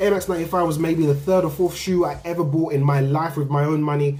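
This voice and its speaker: With an English accent and a fairly high pitch, a man speaks with ordinary pitch variation amid audible room echo. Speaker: sneaker youtuber. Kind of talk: casual vlog review. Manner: animated.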